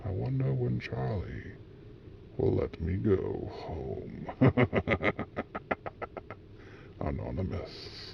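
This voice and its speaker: Using a put-on character voice, a man speaks at a very deep, low pitch and a very slow pace with long, frequent pauses. Clear background noise runs underneath. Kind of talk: horror story narration. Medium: read story.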